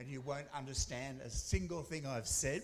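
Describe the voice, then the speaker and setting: A man with an Australian accent and fairly high pitch, speaking at a fairly quick pace amid audible room echo. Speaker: academic researcher. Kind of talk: conference presentation. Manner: fast.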